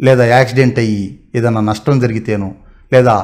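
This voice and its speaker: The intonation stays fairly even as a man speaks over a quiet background. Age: 30s. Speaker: YouTube motivational talker. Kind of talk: motivational monologue. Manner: halting. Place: home room. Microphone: camera far.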